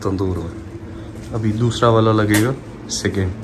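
A man's fairly low voice, fairly slow and fairly even in intonation, over clear background noise

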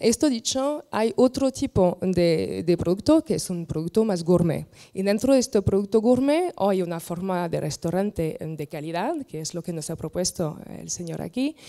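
A woman with a French accent and a dark, mellow tone talks at a moderate pace with hardly any pauses against a quiet background. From France. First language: French (speaking Spanish). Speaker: landscape architect and wine tourism expert; panel expert. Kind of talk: panel discussion. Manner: halting. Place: hall. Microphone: handheld.

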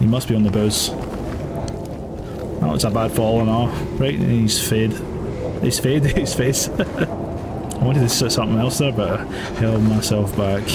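In a Scottish accent, a man talks at a fairly slow pace over loud background noise. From Scotland. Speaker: gaming streamer. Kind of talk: let's play commentary. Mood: amused, joking. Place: home room.

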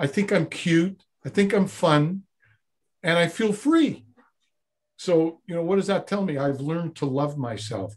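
This man talks at a fairly slow pace with long, frequent pauses, his pitch high and his intonation lively. The background is quiet. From Montreal, Quebec. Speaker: former Zen monk, personal development coach; personal development coach. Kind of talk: interview conversation. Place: studio. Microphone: video call.

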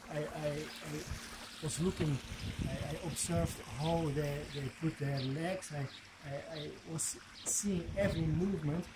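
Very slow speech in a Flemish accent, with fairly even intonation. Loud background noise runs underneath. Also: man, fairly high pitch for a man. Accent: Flemish Dutch accent in English. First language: Dutch. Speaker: video blogger and life coach; video blogger, life coach. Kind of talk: motivational vlog monologue. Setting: outdoors at home. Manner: halting, many fillers and repetitions; relaxed. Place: garden. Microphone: phone near.

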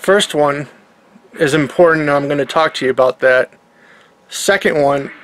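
Against light background noise, a man speaks at a moderate pace. His pitch varies in an ordinary way. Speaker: daily vlogger. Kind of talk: casual vlog chat. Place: home room. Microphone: webcam.

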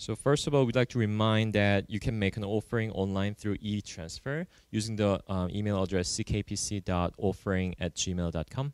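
A normal speaking voice from a man, fairly low in pitch with ordinary variation, at a moderate pace, in a dry, close sound with no echo. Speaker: church service leader. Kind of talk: prayer and announcements. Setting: church.

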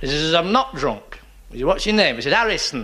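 A man speaks with a Lancashire accent. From northern England. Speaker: stand-up comedian. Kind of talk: stand-up comedy routine. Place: stage.

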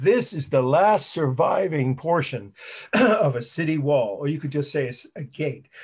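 A man's hoarse, put-on character voice, fairly high in pitch, at a moderate pace.

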